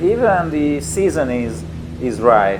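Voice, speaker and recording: With a Hungarian accent, a man speaks at a fairly slow pace amid audible room echo and noticeable background noise. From Hungary, Tatabánya. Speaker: company representative demoing a motion simulator. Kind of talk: gameplay demo commentary. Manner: halting, many fillers and repetitions.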